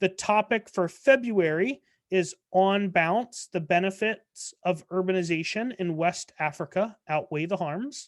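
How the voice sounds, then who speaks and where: This is a plain, everyday voice at a fairly slow pace. The background is quiet. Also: woman. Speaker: debate coach. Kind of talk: training presentation. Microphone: video call.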